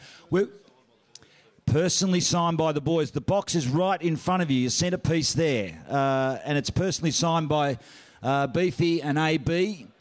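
With an Australian accent, the speaker holds a moderate pace, very even loudness and ordinary pitch variation over a quiet background. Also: man, fairly high pitch for a man. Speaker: auctioneer and master of ceremonies. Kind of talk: event MC announcements. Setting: function room PA. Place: hall. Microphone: handheld.

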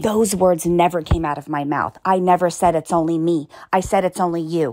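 Putting on a character voice, a woman talks at a fairly quick pace. Her pitch is fairly low and her intonation fairly even. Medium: solo performance. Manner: snappy, sarcastic.

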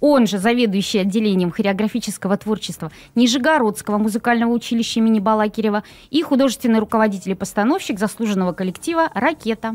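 Very fast, very evenly loud speech from a woman, fairly high in pitch, with ordinary pitch variation. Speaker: cultural centre methodologist. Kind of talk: live studio interview. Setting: studio. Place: studio. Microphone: studio mic.

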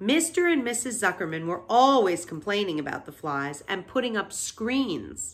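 The intonation here is lively. It is a natural reading voice.

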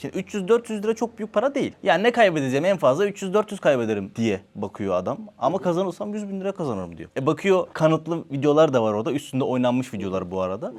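A man's fairly high pitch with very wide pitch swings, at a very fast pace with hardly any pauses. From Turkey. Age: 30s. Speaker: social media content creator. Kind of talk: casual interview.

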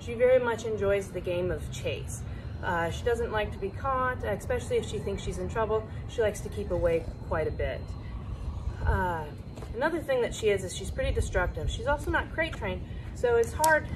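Noticeable background noise is present. A woman speaks at a fairly quick pace. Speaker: dog trainer. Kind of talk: explanatory talk to camera. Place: open country.

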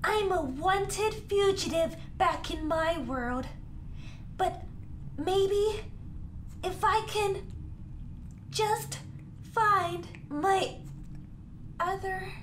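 A cartoonish character voice moves at a very slow pace, with long, frequent pauses. Clear background noise runs underneath. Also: man, extremely high pitch for a man. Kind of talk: comic overacting. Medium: puppet show. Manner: grandiose, melodramatic, earnest.

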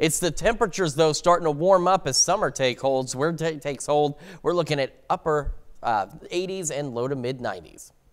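Speaking at a moderate pace, a man has a fairly high pitch with ordinary pitch variation. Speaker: TV meteorologist. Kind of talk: live weather forecast and banter. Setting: TV studio. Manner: chatty, self-deprecating, filler-heavy. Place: studio.

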